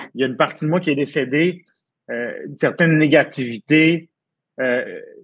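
Fairly slow and fairly even in intonation, a man speaks with a fairly high pitch. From Quebec, Abitibi-Témiscamingue. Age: 30s. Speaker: event and wine industry worker, suicide attempt survivor. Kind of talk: personal testimony. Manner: halting, repeats words.

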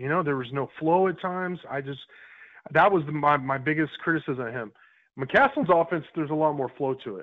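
This is a normal speaking voice with an American accent and ordinary pitch variation. The pace is fairly quick, and the loudness swings a lot. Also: man. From Texas. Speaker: college sports writer. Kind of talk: casual interview.

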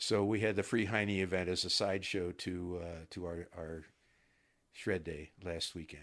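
A man speaks with an American accent at a very deep, low pitch and a fairly slow pace. His intonation is fairly even, and the recording is very clean with a silent background. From US Midwest, Ohio near Cincinnati. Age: 70s. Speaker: retired FBI agent. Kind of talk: interview. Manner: hesitant, many fillers.

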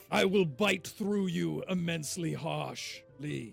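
A man uses a put-on character voice pitched high. Faint music plays in the background. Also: fairly slow pace. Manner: menacing, mock-threatening.

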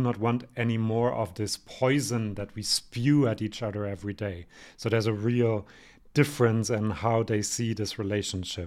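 A man with a non-native accent and ordinary pitch variation, on a very clean recording with a silent background. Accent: noticeable non-native. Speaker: podcast host, Eurovision commentator. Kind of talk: solo review and commentary podcast. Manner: animated, enthusiastic.

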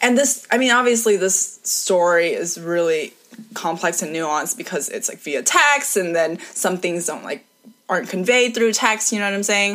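An unremarkable speaking voice at a moderate pace with lively intonation. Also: woman, medium pitch for a woman. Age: 20s. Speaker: guest. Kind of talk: casual chat.

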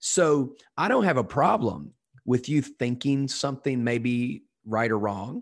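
A man with a plain, everyday voice speaks at a fairly slow pace over a quiet background. His pitch is medium, with ordinary variation. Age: 40s. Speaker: pastor. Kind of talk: interview conversation.

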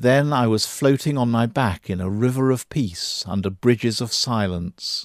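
An unremarkable speaking voice moves at a moderate rate, its pitch varying in an ordinary way. Behind it is total silence on a very clean recording. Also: man, medium pitch for a man. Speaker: audiobook-style reader of an essay. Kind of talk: literary memoir reading, first-person prison narrative read aloud. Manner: measured, reflective, contemplative.

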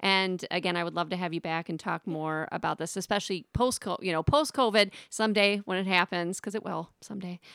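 An unremarkable speaking voice at a fairly quick pace with ordinary pitch variation, dry and close with no echo, on a very clean recording with a silent background. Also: woman, medium pitch for a woman, hardly any pauses. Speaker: podcast host and singing teacher. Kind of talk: casual interview chat.

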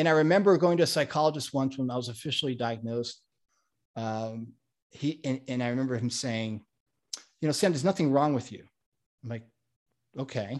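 Over a quiet background, a man with medium pitch talks at a fairly quick pace yet leaves long, frequent pauses. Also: ordinary pitch variation. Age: 40s. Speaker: coach and speaker. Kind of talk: casual interview conversation. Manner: halting, many repeated words.

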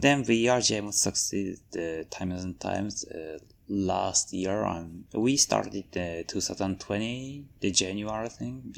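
A man's fairly low voice with a Japanese accent, lively intonation, a fairly slow pace, hardly any pauses, and a very clean recording over a silent background. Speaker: furry convention staff member. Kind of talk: interview. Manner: halting.

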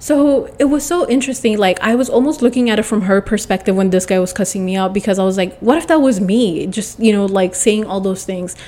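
Noticeable noise sits in the background. A woman speaks with lively intonation. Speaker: solo podcast host. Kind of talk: casual solo monologue.

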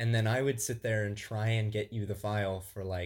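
A somewhat breathy man with an American accent, fairly low in pitch, with monotone, flat intonation at a moderate pace, on a very clean recording with a silent background. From Southwest Illinois. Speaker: podcast co-host. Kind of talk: casual chat.

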